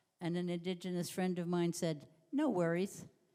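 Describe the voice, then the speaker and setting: A woman of medium pitch speaks in a dark, mellow tone. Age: 80s+. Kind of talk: panel discussion.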